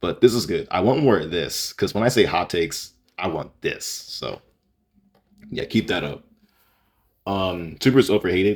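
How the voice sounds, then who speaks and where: This man has a very deep, low pitch. His intonation is lively and his pace moderate. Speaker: YouTuber reacting to fan opinions. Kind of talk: casual commentary video. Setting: home recording, raw unedited video. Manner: halting, many fillers and restarts.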